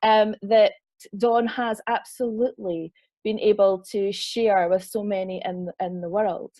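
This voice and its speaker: A woman speaks at a very slow pace. She has a Scottish accent. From Scotland. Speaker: online festival host, interviewer. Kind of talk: interview introduction.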